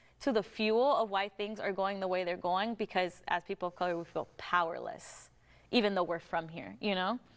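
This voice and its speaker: Against a quiet background, a woman with an American accent uses an ordinary speaking voice at a medium pitch and moderate pace, with ordinary pitch variation. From United States. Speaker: podcast co-host. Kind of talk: casual chat.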